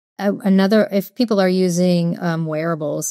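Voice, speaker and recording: An ordinary speaking voice moves at a moderate pace with fairly even intonation. The sound is dry with no echo, and the background is quiet. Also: woman. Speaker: remote guest. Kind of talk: interview answer. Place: home room. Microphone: earbuds.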